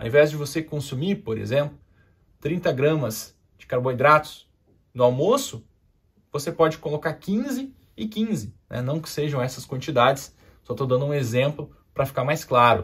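A somewhat breathy man at a fairly high pitch, with ordinary pitch variation, long, frequent pauses and a quiet background. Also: moderate pace, big swings in loudness. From southern Brazil, Porto Alegre. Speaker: endocrinologist. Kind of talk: health education video. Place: studio.

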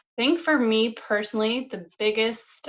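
With a quiet background, a woman's speech moves at a fairly slow pace. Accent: Canadian Maritime. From Nova Scotia, Canada. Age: 30s. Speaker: holistic nutritionist and mental health advocate. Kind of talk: casual interview. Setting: remote video call. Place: home room. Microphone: camera far.

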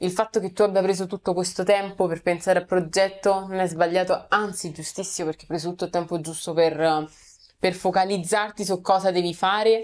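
At a fairly quick pace, a woman speaks at medium pitch with monotone, flat intonation. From Rome, Italy; Italy. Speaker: content creator. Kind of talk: casual interview. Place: studio.

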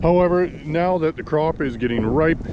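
Noticeable noise sits in the background of a dry sound that has no echo. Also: man. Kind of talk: field report commentary. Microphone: phone near.

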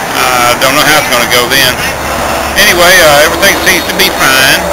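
A man's speech competes with loud background noise. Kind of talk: casual vlog chat. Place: station. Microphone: phone near.

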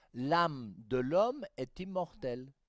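In a dry recording with no echo, a man talks in an animated tone with lively intonation. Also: quiet background. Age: 60s. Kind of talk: catechetical teaching talk. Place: studio. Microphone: headset.

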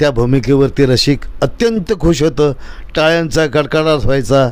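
The man's voice has a fairly high pitch. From Maharashtra, Pune district village. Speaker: folk theatre actor and playwright. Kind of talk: interview. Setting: studio.

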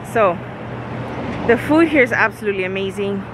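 Over noticeable background noise, a woman speaks with a dry sound that has no echo. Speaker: family vlogger. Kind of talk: casual vlog chat. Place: street. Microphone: phone near.

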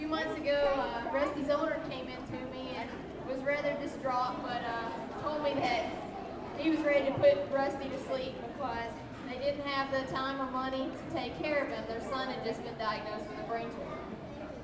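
Over crowd noise in the background, a woman speaks at a moderate pace. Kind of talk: public speech. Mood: earnest, touching story. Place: stage.

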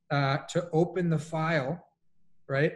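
His voice is fairly high for a man, delivered with an American accent. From Colombia, raised partly in US. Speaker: executive coach; panelist. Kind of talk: panel discussion. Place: home room.

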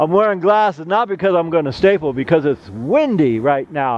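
Recorded dry with no echo, a man talks at a moderate pace. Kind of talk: tutorial. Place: garden.

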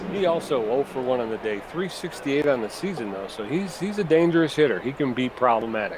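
A man speaks at a fairly quick pace in a fairly high pitch. Noticeable background noise is audible. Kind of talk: sports commentary. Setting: video game let's play.

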